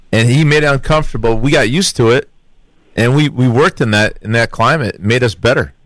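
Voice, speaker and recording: In an American accent, a man talks at a very fast pace. His pitch sits at a medium level with ordinary variation. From Connecticut. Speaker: radio co-host and former football player. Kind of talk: casual radio panel chat.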